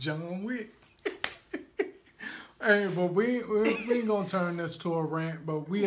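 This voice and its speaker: Someone with a Southern US accent talks at a fairly slow pace, pausing long and often. Noticeable background noise runs underneath. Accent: Southern US country twang. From Alabama. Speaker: video co-host.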